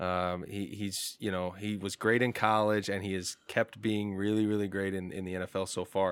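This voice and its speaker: Monotone and flat, a man talks at a fairly low pitch with an American accent. The recording is very clean, the background silent. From Indiana. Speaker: sports fan and football commentator. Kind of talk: casual chat.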